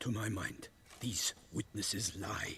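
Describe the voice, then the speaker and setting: A man whispers in a raspy, put-on character voice at a fairly slow pace, with clear background noise. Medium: video game. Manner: measured, matter-of-fact.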